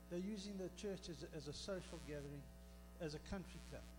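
A man is speaking at a moderate pace. Music plays in the background. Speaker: speaker. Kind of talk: sermon. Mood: earnest personal testimony. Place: church. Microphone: handheld.

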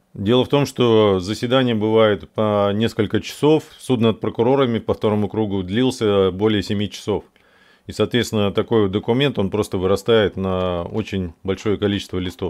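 A man with a fairly low pitch speaks at a moderate pace with fairly even intonation. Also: quiet background. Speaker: video blogger, civic activist; video blogger. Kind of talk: tutorial. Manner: halting, many false starts and fillers. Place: home room. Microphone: studio mic.

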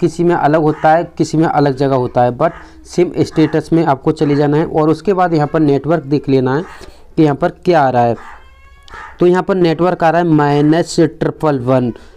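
A man speaks at a moderate pace with fairly even intonation and very even loudness. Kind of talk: tutorial. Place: workshop.

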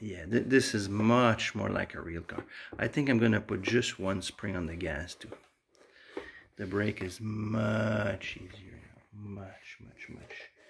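A very slow, fairly low-pitched man with fairly even intonation, big swings in loudness and light background noise. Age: 40s. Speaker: DIY video maker; gamer testing pedals. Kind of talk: tutorial. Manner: casual, hesitant with many fillers. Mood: pleased. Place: home room. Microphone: phone near.

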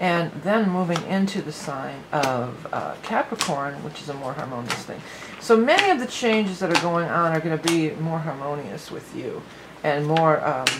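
Noticeable background noise sits behind speech at a moderate pace. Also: woman. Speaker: tarot reader. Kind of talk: tarot reading commentary. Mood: warm, upbeat.

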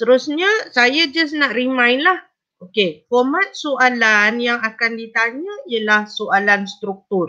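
At a very slow pace, a woman speaks in a high pitch with a bright, sharp tone. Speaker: teacher. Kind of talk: online exam-prep lesson.

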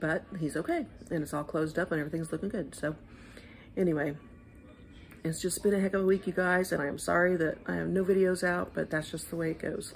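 A woman with a fairly low pitch speaks at a fairly quick pace with fairly even intonation over light background noise. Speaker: vlogger. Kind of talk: casual vlog chat. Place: hall. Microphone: phone near.

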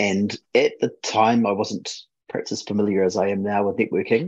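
A fairly fast-talking man over a quiet background. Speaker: presenter. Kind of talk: technical talk presenting slides. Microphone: video call.

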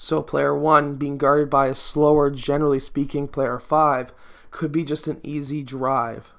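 Moderate pacing from a male speaker, with a quiet background. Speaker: basketball coach. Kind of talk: tutorial. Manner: instructional, explanatory.

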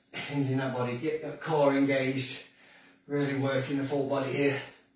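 A man speaks at a moderate pace in a flat monotone. Some room echo can be heard. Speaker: fitness instructor. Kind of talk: workout instruction. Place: kitchen. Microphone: camera far.

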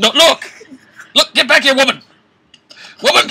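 In a cartoonish character voice, a man speaks at an extremely high pitch, his tone bright and sharp, with vocal fry and lively intonation. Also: fairly slow pace.

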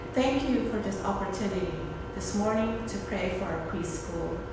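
A woman speaks at a moderate pace with strong room echo and noticeable background noise. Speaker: preschool director leading prayer. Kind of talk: fervent intercessory prayer, earnest and devotional, addressing God directly. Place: classroom. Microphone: phone near.

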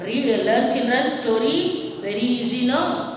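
A woman's high voice in strong room echo, with light background noise. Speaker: kindergarten teacher. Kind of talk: recorded class lesson, rhyme and storytelling. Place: classroom. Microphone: camera far.

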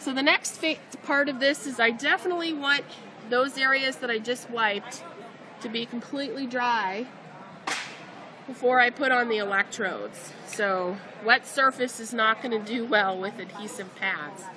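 A woman speaks at a high pitch and a moderate pace, leaving long, frequent pauses. Noticeable background noise runs underneath. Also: ordinary pitch variation. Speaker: vet tech demonstrator. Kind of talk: tutorial. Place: hall. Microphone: phone near.

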